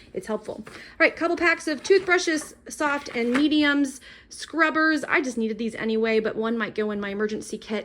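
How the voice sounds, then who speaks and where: Speaking at a fairly quick pace, a woman with a high-pitched voice uses lively intonation. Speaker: prepping youtuber. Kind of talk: product haul walkthrough. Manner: fast; casual with many fillers.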